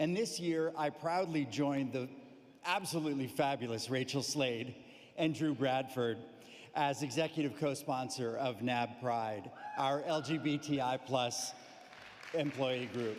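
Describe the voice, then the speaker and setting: Using a plain, everyday voice with an American accent, a man speaks at a fairly slow pace and a fairly high pitch, with ordinary pitch variation and very even loudness. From United States. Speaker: corporate executive, sponsor speaker. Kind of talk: formal speech.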